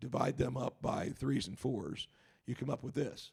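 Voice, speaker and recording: A man speaks at a moderate pace with vocal fry. His tone is dark and mellow. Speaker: Bible teacher. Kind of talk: Bible study lecture.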